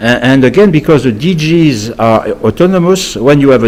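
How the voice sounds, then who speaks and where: Noticeable background noise sits behind a man with a French accent. He talks at a fairly quick pace with lively intonation. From France. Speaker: lobbyist. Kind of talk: interview. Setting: studio. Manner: halting, frequent repetitions and fillers.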